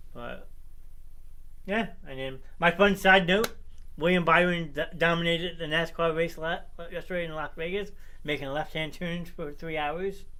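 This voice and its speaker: Amid audible room echo, a man with a high pitch speaks at a moderate pace with ordinary pitch variation and long, frequent pauses. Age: 30s. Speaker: sports show host. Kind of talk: casual chat. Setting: home basement studio, livestream.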